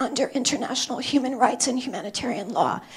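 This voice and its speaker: A woman talks at a high pitch. Noticeable background noise runs behind her. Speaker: human rights advocate, panelist. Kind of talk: panel talk. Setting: conference stage with audience.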